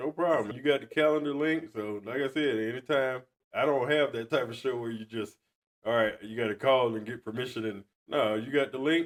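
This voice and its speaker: A man with an American accent, a normal speaking voice at a medium pitch, ordinary pitch variation and a fairly quick pace. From US South, Georgia. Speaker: podcast host. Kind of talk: casual chat.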